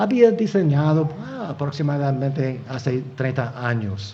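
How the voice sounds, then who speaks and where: In a non-native accent, a man with a fairly high pitch talks at a very slow pace with lively intonation, amid audible room echo. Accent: non-native Spanish accent (own remark). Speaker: preacher, Bible teacher. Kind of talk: sermon. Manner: halting, many fillers and repetitions.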